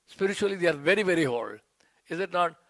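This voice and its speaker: A high-pitched man talks at a fairly quick pace. He speaks with an Indian accent. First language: Hindi. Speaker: disciple, youth preacher. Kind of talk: reading aloud a tribute; devotional speech.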